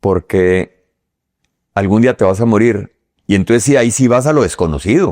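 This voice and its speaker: A man with a fairly low pitch talks at a moderate pace with lively intonation and very even loudness, leaving long, frequent pauses in a dry, close sound with no echo. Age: 60s. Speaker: businessman. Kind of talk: interview conversation. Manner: halting, many fillers.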